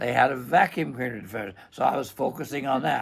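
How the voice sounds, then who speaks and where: A man talks with noticeable background noise present. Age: 80s+. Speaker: vacuum repair shop owner. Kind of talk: casual interview chat. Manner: halting, many repetitions and fillers.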